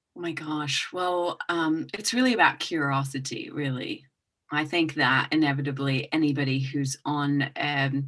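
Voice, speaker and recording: A woman's very deep, low voice in a British accent, fairly slow and fairly even in intonation. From England and Hong Kong. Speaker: intuitive business coach. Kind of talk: podcast interview. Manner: hesitant, many fillers.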